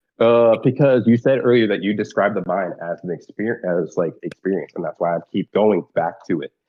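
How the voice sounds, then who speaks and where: A man talks at a fairly quick pace with hardly any pauses. His voice is fairly low in pitch, with ordinary pitch variation. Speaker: online debater. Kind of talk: heated debate.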